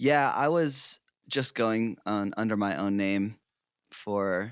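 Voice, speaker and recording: A man's fairly low voice comes through a very clean recording against a silent background. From New England (South Portland, Maine). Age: 30s. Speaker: musician. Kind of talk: casual chat.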